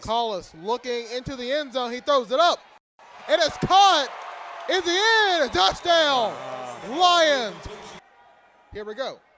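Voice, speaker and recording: Over noticeable background noise, a man speaks in a raised, projected voice at an extremely high pitch, very slowly and with very wide pitch swings and long, frequent pauses. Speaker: sports play-by-play announcer. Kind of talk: live sports play-by-play commentary.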